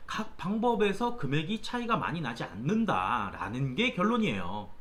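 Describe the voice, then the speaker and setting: Speech at a moderate pace is heard with noticeable background noise. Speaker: tax accountant YouTuber. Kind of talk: tutorial.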